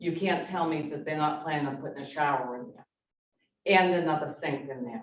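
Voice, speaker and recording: A woman's voice sits very deep and low. Her intonation stays fairly even. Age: 70s. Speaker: resident speaking at town meeting. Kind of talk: public comment at town meeting. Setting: town board meeting room.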